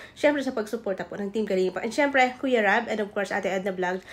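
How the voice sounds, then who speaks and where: A woman talks at a very fast pace. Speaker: vlogger. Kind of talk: reaction video commentary. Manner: soft-spoken. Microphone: no microphone.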